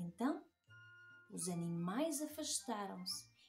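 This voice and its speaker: Very wide pitch swings over faint music in the background. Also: woman. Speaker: children's book author and illustrator. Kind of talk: children's story reading. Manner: lively, engaging, addressing children. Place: home room.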